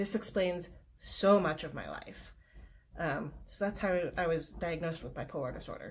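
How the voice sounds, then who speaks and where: At a fairly slow pace, a woman talks in a fairly low, somewhat breathy voice. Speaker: mental health vlogger. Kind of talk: personal vlog talk. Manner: hesitant fillers.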